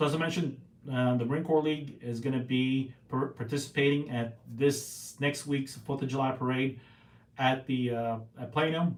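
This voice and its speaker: This man's medium-pitched voice stays monotone, with flat intonation. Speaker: podcast host, Marine veteran and Rotarian. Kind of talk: casual solo podcast talk. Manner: fast; halting, many fillers.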